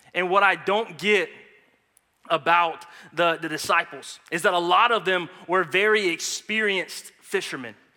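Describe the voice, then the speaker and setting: At a moderate pace, a man with an American accent speaks in a high pitch with a bright, sharp tone and ordinary pitch variation. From United States. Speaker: guest preacher. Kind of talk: sermon. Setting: church.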